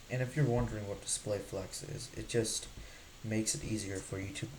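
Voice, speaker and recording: A man with a fairly low-pitched voice speaks over noticeable background noise. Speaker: coding tutorial creator. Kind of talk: tutorial.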